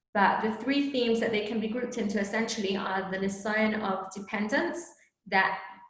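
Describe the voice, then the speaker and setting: A woman talks at a medium pitch with ordinary pitch variation. Room echo is audible. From England and South Africa. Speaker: teacher trainer. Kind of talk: teacher training presentation. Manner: casual, conversational with fillers.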